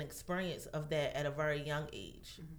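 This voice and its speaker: A woman's voice carries audible room echo. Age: 30s. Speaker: massage therapist. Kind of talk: casual chat.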